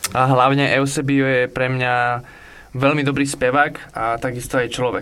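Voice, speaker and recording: A man at a medium pitch. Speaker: music producer. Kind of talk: radio interview. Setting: studio.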